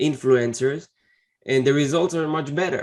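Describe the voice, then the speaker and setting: In a quiet background, a man with a fairly high pitch speaks with a non-native accent. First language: not English. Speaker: Amazon seller and interview host. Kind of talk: interview. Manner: halting.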